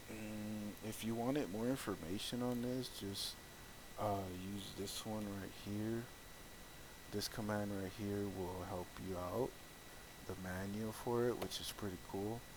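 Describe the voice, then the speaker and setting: In a room with audible echo, a man speaks at a fairly low pitch and fairly slow pace, with fairly even intonation and long, frequent pauses. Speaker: tech tutorial creator. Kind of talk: screen-recorded tutorial. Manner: halting, hesitant with many fillers; casual.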